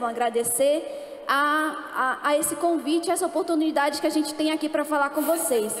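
A woman's high-pitched voice at a moderate pace, with fairly even intonation and audible room echo. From Amazonas, northern Brazil (Manaus); Amazonas, Brazil. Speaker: speaker. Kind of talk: panel talk. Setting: stage with audience. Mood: calm, earnest. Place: stage. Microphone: handheld.

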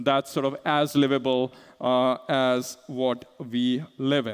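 A man talks with little noise behind him. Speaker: conference speaker. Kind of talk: lecture. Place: stage.

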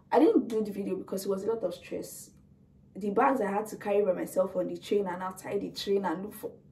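A woman talks very fast while light noise sits in the background. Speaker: student vlogger. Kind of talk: casual vlog chat. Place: home room. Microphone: camera far.

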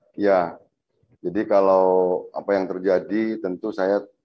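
A man talks fairly slowly in a very deep, low voice with monotone, flat intonation. The background is quiet. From South Sumatra, Indonesia (Belitang, OKU Timur); South Sumatra, Indonesia. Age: 40s. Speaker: guest. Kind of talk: interview; interview answer. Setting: studio. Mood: solemn, expressing concern. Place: studio.

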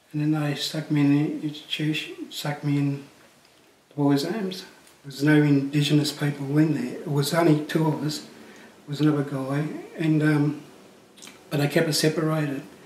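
A man talks at a moderate pace with a fairly high pitch, monotone, flat intonation and big swings in loudness. Audible room echo and light background noise surround him. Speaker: legal aid client. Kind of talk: testimony. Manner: halting. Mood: calm, reflective, subdued. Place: home room.

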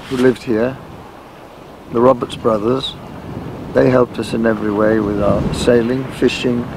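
At a moderate pace, a man speaks with fairly even intonation in a dry sound with no echo, with noticeable background noise behind him. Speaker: interviewee. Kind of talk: interview answer.

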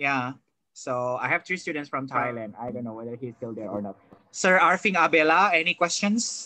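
A man with an Indonesian accent talks fairly quickly in a fairly high pitch, with lively intonation and a bright, sharp tone. His loudness swings widely, and the sound is dry with no echo against a quiet background. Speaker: professor; seminar host, moderator. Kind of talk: seminar moderation. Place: home room. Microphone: video call.

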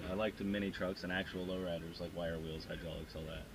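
With music in the background, a man with a very deep, low pitch speaks very fast in a monotone, flat intonation, the sound dry with no echo. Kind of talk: casual vlog chat. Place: car. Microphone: camera far.

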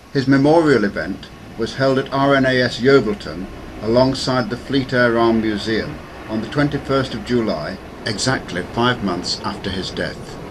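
Over noticeable background noise, a man talks at a moderate pace, his pitch varying in an ordinary way. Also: medium pitch for a man. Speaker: former university air squadron member. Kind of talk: documentary narration.

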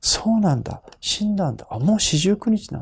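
Over a quiet background, a man with a high voice speaks at a moderate pace. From Japan. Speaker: Buddhist priest. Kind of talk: sermon-style talk to camera. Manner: formal, explanatory. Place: home room.

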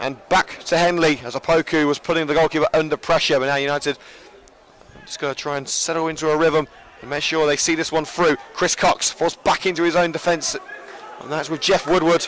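With noticeable background noise behind him, a man speaks at a fairly quick pace in a fairly high voice, sounding animated and excited. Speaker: football commentator. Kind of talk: live sports commentary, play-by-play. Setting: stadium press box at the ground. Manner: fast, animated, excited play-by-play; jokey, chatty between plays.

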